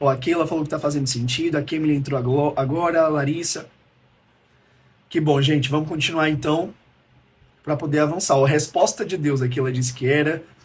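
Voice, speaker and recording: A man with a fairly high pitch speaks at a fairly quick pace and sounds somewhat breathy. His speech has long, frequent pauses. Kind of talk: live-streamed teaching talk. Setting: livestream. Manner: fast; animated.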